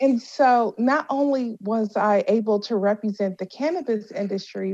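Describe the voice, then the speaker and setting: A woman with an unremarkable speaking voice talks at a moderate pace in a fairly high pitch with ordinary pitch variation, against a quiet background. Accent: American. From Washington D.C. and Louisiana. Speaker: cannabis entrepreneur and CEO. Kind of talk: interview.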